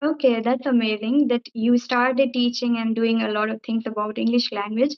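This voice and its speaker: A woman with an Indian accent talks at a moderate pace, her fairly high pitch held in a monotone, flat intonation. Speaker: English teacher and YouTuber. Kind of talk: casual chat. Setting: video call.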